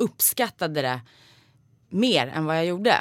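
Her intonation is lively as she talks at a moderate pace. This woman is heard on a very clean recording with a silent background. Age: 30s. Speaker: podcast host, voice actor. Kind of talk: casual chat.

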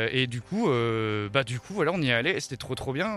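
At a moderate pace, a man talks with lively intonation and a medium pitch. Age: 30s. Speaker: rock band member. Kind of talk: interview. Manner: halting.

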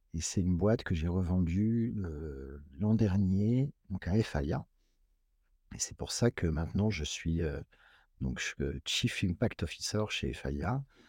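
Very slow delivery with lively intonation, long and frequent pauses, and a dry, close sound with no echo on a very clean recording over a silent background. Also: man, very deep, low pitch for a man. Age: 40s. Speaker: company sustainability executive and engineer. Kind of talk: interview.

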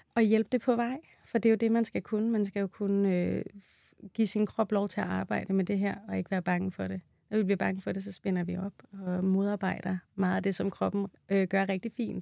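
Moderate pace from a woman, her sound dry and close with no echo. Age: 30s. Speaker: midwife. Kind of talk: interview.

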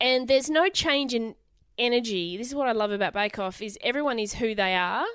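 A woman with an Australian accent, fairly high in pitch, at a fairly quick pace with lively intonation, in a very clean recording with a silent background. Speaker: comedian and TV co-host. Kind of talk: casual chat.

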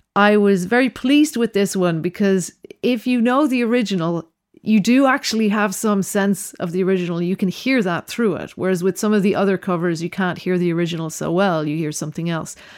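Speaking at a fairly quick pace with a Dublin accent, this voice shows ordinary pitch variation on a very clean recording with a silent background. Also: woman, medium pitch for a woman. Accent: Irish (Dublin). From Ireland, Dublin. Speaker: composer. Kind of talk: interview.

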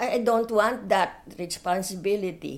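A woman speaks at a very slow pace. Her pitch variation is ordinary. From Philippines, Manila. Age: 80s+. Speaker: retired teacher, war survivor. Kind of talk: interview storytelling. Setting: at home.

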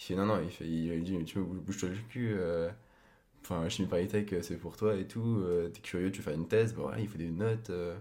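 With a very deep, low pitch and a dark, mellow tone, a man talks at a moderate pace with fairly even intonation. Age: 20s. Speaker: podcast guest, host's boyfriend. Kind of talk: casual chat.

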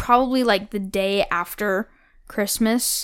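Against a silent background on a very clean recording, a woman speaks at a fairly slow pace with ordinary pitch variation. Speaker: podcast co-host. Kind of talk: casual chat.

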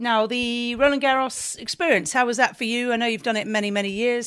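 With a British accent, a woman with a fairly high pitch and ordinary pitch variation talks at a fairly quick pace in a very clean recording with a silent background. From Britain. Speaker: podcast interviewer. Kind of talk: interview questions.

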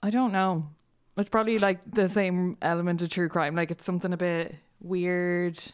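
A woman with an Irish accent and a fairly low pitch is heard against a quiet background. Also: fairly even intonation, moderate pace. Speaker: podcast co-host. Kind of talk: casual chat.

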